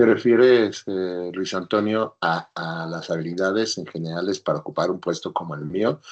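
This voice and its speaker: A moderate pace and ordinary pitch variation against a quiet background. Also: man. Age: 60s. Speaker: engineer, businessman and teacher. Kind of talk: interview.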